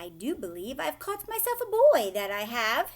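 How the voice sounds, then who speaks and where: A female-sounding voice in a put-on character voice speaks at a high pitch and a moderate pace. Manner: grinning, gleeful.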